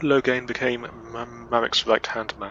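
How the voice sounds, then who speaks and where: A man talks at a very slow pace with a slight Scottish accent. Background noise is noticeable. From Scotland. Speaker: gaming video creator. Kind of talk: reading aloud. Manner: halting, stumbles and self-corrects.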